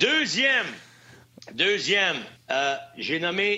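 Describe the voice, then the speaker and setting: A man with a Quebec accent, high in pitch, with very wide pitch swings. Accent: Québécois French. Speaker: former hockey player, hockey analyst. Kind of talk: casual chat.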